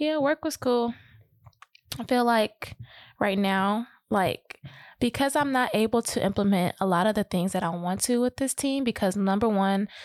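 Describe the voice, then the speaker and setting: On a very clean recording with a silent background and a dry, close sound with no echo, a woman speaks in a plain, everyday voice at a fairly high pitch and a fairly slow pace, with ordinary pitch variation. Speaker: podcast host. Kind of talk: casual chat.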